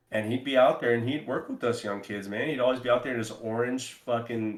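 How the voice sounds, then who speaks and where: A man's voice carries audible room echo. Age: 30s. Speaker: paintball podcast co-host and player. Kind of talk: casual podcast chat.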